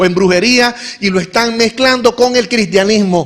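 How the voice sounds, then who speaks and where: A man at a moderate pace with fairly even intonation, over noticeable background noise. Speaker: pastor. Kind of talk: sermon. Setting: church.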